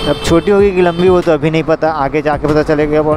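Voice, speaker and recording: Noticeable background noise surrounds a dry sound that has no echo. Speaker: motovlogger rider. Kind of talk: casual vlog chat. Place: motorbike. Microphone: helmet.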